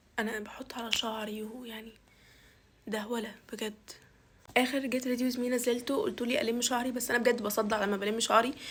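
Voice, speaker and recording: Noticeable background noise sits behind a woman's fairly high voice. She talks at a moderate pace with monotone, flat intonation. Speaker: university student vlogger. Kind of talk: get ready with me vlog. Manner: casual, chatty.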